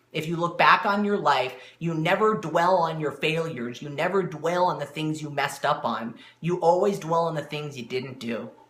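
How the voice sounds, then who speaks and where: With noticeable background noise behind him, a man speaks at a fairly high pitch with ordinary pitch variation. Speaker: motivational speaker and network marketing coach. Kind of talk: live-stream motivational talk. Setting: live video stream. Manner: fast; animated.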